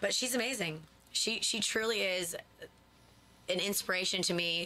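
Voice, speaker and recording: Over noticeable background noise, a woman with an American accent speaks at a medium pitch, with ordinary pitch variation and very even loudness. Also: moderate pace. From upstate New York. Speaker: singer-songwriter. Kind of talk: radio interview. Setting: radio studio.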